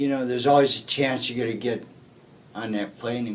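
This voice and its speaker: Audible room echo fills the space. Within it, a man speaks at a medium pitch. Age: 70s. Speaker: war veteran. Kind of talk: oral history interview.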